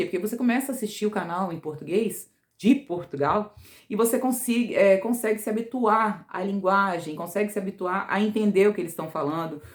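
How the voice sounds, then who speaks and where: With an ordinary speaking voice, a woman talks at a fairly quick pace and medium pitch, her intonation lively. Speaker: vlogger. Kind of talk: casual vlog talk.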